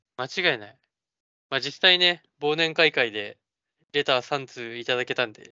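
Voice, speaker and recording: A man's medium-pitched voice at a moderate pace, with ordinary pitch variation, big swings in loudness and long, frequent pauses. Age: 20s. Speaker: podcast co-host. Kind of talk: casual chat.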